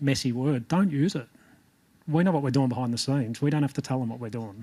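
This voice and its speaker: A man speaks with an Australian accent. His voice has a medium pitch and a dark, mellow tone. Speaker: jockey coach. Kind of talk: panel discussion report-back. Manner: hesitant, many fillers.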